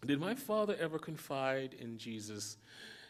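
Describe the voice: The speaker is doing plain reading aloud.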